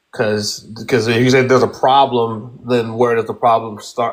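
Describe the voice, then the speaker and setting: The speech comes at a moderate pace in a monotone, flat intonation. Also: man. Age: 30s. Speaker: panel participant. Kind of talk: debate. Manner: halting.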